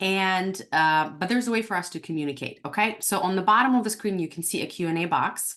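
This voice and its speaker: A woman's medium-pitched voice with a non-native accent, lively intonation and a very fast pace over a quiet background. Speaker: dental practice coach. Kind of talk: webinar class. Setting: online webinar. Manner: dramatic pauses.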